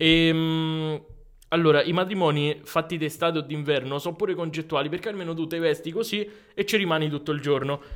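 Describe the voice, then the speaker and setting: A man with an ordinary speaking voice talks at a fairly high pitch. His pace is fairly quick and his intonation fairly even. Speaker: podcast host. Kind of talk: casual chat. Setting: studio. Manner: joking.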